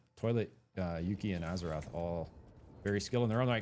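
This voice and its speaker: Music plays in the background as a man talks at a very fast pace. His tone is energetic and excited, with ordinary pitch variation. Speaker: esports shoutcaster / game caster. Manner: fast, energetic, excited.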